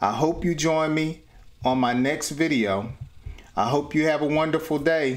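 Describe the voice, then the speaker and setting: This man speaks at a moderate pace. His intonation stays fairly even. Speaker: English teacher. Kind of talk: tutorial. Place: home room. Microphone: phone near.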